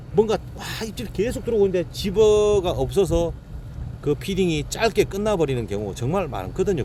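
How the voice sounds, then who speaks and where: Over noticeable background noise, a man speaks at a moderate pace with a Gyeongsang accent. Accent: Gyeongsang dialect, blunt tone. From Gyeongsang region, Korea. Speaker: fishing guide and boat operator. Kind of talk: casual instructional talk to camera. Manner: conversational, repetitive check-ins.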